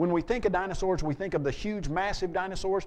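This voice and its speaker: An animated man at a high pitch, talking at a very fast pace. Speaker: apologetics speaker. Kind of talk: seminar lecture.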